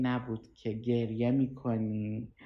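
The speaker is a woman. Her voice sits very deep and low in pitch. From Tehran, Iran. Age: 20s. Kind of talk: personal testimony. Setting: at home on a couch.

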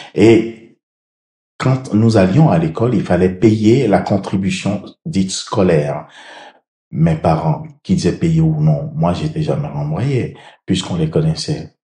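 A man speaks at a very slow pace with long, frequent pauses, a fairly low pitch, a dark, mellow tone, a somewhat breathy quality, and very wide pitch swings. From Benin (Abomey). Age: 60s. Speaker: mayor. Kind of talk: interview.

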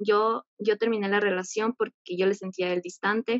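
Her intonation stays fairly even. The woman speaks at a moderate pace with a medium pitch. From Ecuador. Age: 20s. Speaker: caller seeking advice. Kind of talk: personal confession. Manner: halting.

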